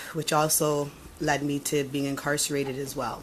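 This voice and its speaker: Against noticeable background noise, a woman speaks in a Toronto accent with a very deep, low pitch. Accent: Toronto Canadian English. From Toronto, Canada. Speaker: former prisoner. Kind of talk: testimony. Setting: committee hearing room. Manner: halting.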